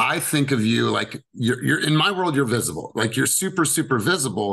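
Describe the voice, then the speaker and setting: A man speaks at a moderate pace in an animated tone, his intonation lively and his loudness very even, with vocal fry over a quiet background. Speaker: sales coach for real estate agents. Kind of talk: team coaching session. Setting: video call. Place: home room. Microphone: studio mic.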